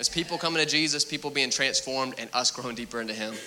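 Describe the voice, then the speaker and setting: A man speaks at a very fast pace with ordinary pitch variation. There is noticeable background noise. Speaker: preacher. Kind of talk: sermon. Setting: church. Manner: mumbling.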